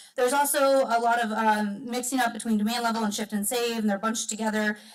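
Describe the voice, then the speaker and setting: A woman talks at a very fast pace in a monotone with flat intonation. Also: fairly high pitch for a woman. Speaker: solar advocacy program director. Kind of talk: public comment. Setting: public meeting.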